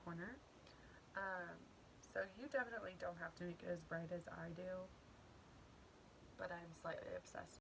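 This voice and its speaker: Noticeable background noise is present throughout. The talking proceeds at a moderate pace. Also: woman. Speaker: beauty vlogger. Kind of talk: makeup tutorial. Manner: casual, chatty; occasional stutter.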